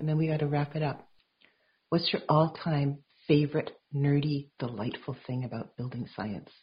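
A woman's somewhat breathy, very deep, low voice at a moderate pace with fairly even intonation. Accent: Canadian. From Vancouver, Canada. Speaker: podcast host. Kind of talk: interview conversation.

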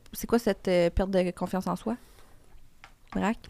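A woman speaks with monotone, flat intonation in a dry, close sound with no echo. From Quebec. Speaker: TV host and content creator. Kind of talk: casual chat.

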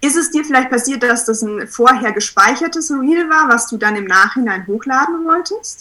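A woman speaks in a high, bright, sharp voice that is raised and projected. Her intonation is lively, and she keeps a moderate pace with hardly any pauses. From Munich, Bavaria. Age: 20s. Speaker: photographer. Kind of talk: casual interview.

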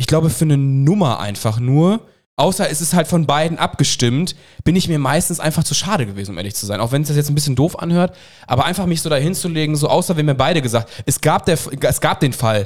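Delivered at a very fast pace, the speech carries lively intonation. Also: man, fairly high pitch for a man. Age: 30s. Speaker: podcast co-host. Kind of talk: casual chat.

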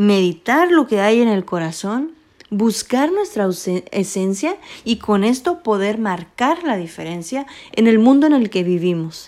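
Speaking at a fairly slow pace, a woman with a medium pitch and a dark, mellow tone uses lively intonation. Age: 20s. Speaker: podcast host. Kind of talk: personal monologue.

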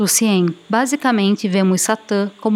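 Speaking at a moderate pace, a woman has a plain, everyday voice at a medium pitch. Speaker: podcast host and narrator. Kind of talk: scripted storytelling narration.

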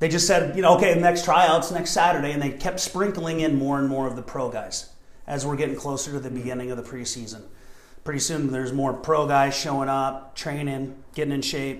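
A man with a fairly high pitch and ordinary pitch variation talks at a fairly quick pace, with audible room echo and noticeable background noise. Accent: American. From Montana. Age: 40s. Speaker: soccer coach and former player. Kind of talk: interview.

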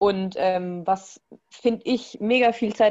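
A woman with a plain, everyday voice, medium pitch and fairly even intonation. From Bavaria, Germany. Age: 20s. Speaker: former hunting student. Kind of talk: casual interview.

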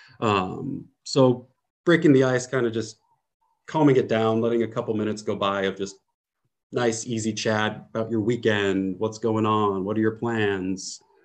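Against a quiet background, a man with a Californian accent talks at a medium pitch, a moderate pace and with fairly even intonation. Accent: Californian American. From US, San Francisco Bay Area. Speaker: English teacher. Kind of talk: casual educational chat.

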